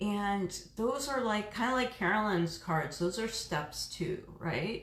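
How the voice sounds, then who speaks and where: Amid audible room echo and noticeable background noise, a woman speaks with ordinary pitch variation. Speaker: reiki practitioner and oracle card reader. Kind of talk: live stream card reading. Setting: live stream from home reiki room. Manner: casual, chatty with fillers.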